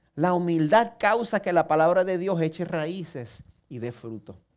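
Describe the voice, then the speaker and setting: A man with a Puerto Rican accent speaks at a fairly slow pace in a fairly high pitch. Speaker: pastor. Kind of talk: sermon. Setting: church service broadcast online.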